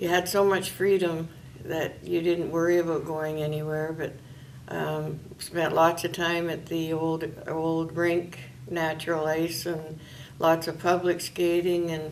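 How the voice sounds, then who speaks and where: A woman with a northern Ontario accent, fairly low in pitch, at a fairly slow pace with monotone, flat intonation, amid noticeable background noise and audible room echo. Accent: Canadian, northern Ontario. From northwestern Ontario, Canada. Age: 60s. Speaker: retired volunteer interviewee. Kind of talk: oral history interview. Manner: hesitant with many fillers.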